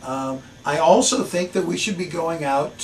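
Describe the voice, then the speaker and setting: With light background noise behind him, a man speaks at a fairly slow pace with ordinary pitch variation. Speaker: local politician. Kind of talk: interview answer. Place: office.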